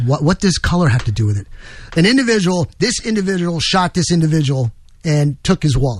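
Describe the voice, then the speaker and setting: This man talks at a fairly quick pace with lively intonation. His voice is somewhat breathy. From New York. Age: 60s. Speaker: radio host. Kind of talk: talk radio, political commentary. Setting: studio.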